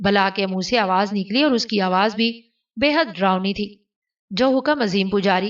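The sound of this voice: Against a quiet background, an unforced reading voice moves with ordinary pitch variation.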